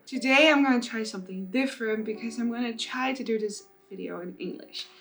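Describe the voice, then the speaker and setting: A woman speaks at a fairly quick pace, with a high pitch and lively intonation. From Netherlands. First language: Dutch. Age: 20s. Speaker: plus size model and body positivity influencer. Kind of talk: casual vlog story time.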